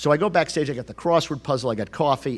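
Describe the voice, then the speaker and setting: A man with an ordinary speaking voice, fairly high in pitch, in a very clean recording with a silent background. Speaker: author and comedy writer giving a keynote. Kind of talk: stand-up style storytelling keynote to an audience. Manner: conversational, self-deprecating, comedic.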